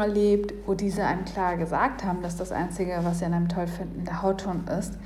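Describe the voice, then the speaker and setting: Against noticeable background noise and audible room echo, a woman talks fairly quickly with monotone, flat intonation. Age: 20s. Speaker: listener submission. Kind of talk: reading aloud.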